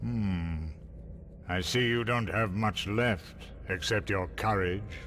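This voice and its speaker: A man's put-on character voice, fairly low and solemn, at a fairly slow pace over clear background noise. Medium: video game. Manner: slow, lofty, solemn.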